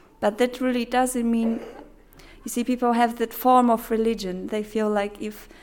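Delivered at a moderate pace, the speech is monotone and flat in intonation, with a Polish accent. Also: woman. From Poland. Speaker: missionary. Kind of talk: presentation.

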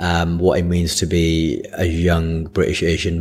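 In a Lancashire accent, a man speaks with a very deep, low pitch and monotone, flat intonation. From Blackburn, Lancashire, northern England. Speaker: comedian. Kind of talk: casual chat.

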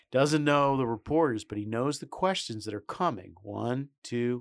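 A man's normal speaking voice, medium in pitch, at a fairly slow pace with hardly any pauses and ordinary pitch variation. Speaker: podcast co-host. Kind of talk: casual political commentary podcast. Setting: studio.

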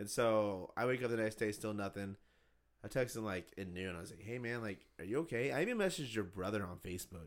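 A man talks at a very fast pace. His pitch sits fairly low and varies in an ordinary way. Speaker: podcast host. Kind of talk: casual chat. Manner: loud; animated.

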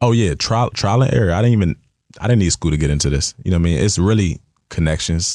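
A man with an American accent talks at a very fast pace in a very deep, low pitch, his tone dark and mellow, his intonation lively and his loudness very even. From Washington DC / Maryland area. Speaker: athlete marketing agent. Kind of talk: interview. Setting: studio.

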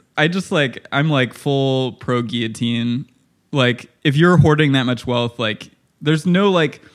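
Using an ordinary speaking voice, a man with an American accent speaks at a medium pitch with lively intonation. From Illinois, US Midwest. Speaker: artist and musician. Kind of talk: casual chat.

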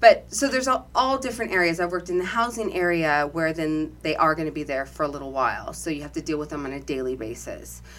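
A woman's very deep, low pitch with vocal fry and very wide pitch swings, at a very fast pace with hardly any pauses. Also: big swings in loudness. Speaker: deputy sheriff and former plus-size model. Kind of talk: casual interview.

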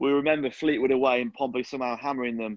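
At medium pitch, a man with a normal speaking voice speaks with fairly even intonation. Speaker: sports writer. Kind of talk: casual sports podcast chat.

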